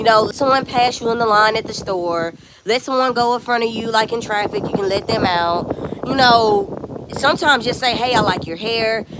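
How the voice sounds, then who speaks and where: Over noticeable background noise, a woman speaks at a fairly high pitch with an animated tone and lively intonation. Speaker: lifestyle vlogger. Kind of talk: casual chat.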